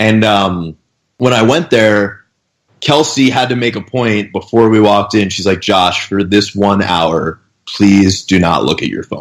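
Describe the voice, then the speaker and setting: An unremarkable speaking voice from a man, fairly low in pitch with ordinary pitch variation. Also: fairly slow pace. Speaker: fitness coach. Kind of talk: casual podcast interview. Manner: casual, storytelling.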